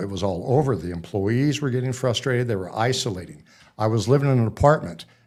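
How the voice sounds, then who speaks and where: A man with an ordinary speaking voice and an American accent, medium pitch, ordinary pitch variation and a fairly quick pace, on a very clean recording with a silent background. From Nebraska. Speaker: author. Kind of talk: interview. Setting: studio.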